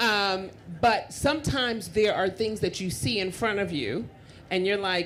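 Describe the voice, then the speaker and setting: In a room with audible echo, a woman with an American accent speaks at a moderate pace with lively intonation. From Queens, New York. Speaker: panelist at tech conference. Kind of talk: panel discussion. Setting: stage with audience. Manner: animated.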